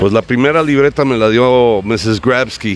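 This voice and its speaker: A man with an English accent talks in an animated tone at a medium pitch over noticeable background noise. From United States. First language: English (speaking Spanish). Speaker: writer and bookseller. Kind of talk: interview.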